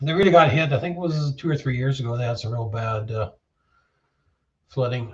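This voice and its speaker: In a relaxed tone, a man at medium pitch sounds somewhat breathy, with ordinary pitch variation and long, frequent pauses. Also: fairly quick pace. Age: 60s. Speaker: livestreamer. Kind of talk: casual chat. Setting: shed. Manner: relaxed, hesitant with many fillers.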